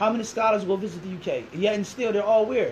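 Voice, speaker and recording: At a fairly quick pace, a man with a Philadelphia accent sounds animated at a high pitch over light background noise. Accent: Philadelphia American English. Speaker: imam. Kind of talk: interview. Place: classroom. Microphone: camera far.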